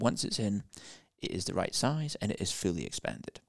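Recorded with a dry, close sound and no echo, a man with a British accent speaks at a fairly low pitch. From UK. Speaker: professor and interventional cardiologist. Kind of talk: interview conversation.

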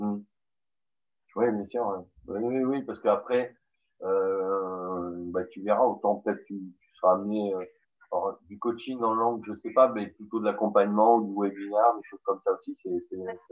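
A man with a southern French accent, fairly low pitch and fairly even intonation at a fairly slow pace, with big swings in loudness and long, frequent pauses. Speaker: podcast host. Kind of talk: interview.

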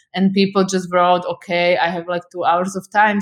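This woman has a Slovak accent and a medium pitch. Her intonation is fairly even. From Slovakia, Bratislava. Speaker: photographer. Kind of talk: interview.

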